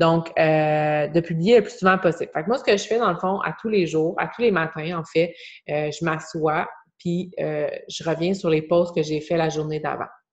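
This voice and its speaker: This woman's voice sits fairly low for a woman, with ordinary pitch variation. She talks at a fairly slow pace against a quiet background. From Quebec. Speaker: online fitness coach. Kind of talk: group coaching video call. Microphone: video call.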